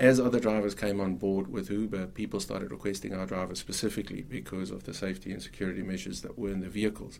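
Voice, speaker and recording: A man talks at a very fast pace with hardly any pauses. His pitch variation is ordinary. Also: fairly low pitch for a man. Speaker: ride sharing company founder. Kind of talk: interview. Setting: studio.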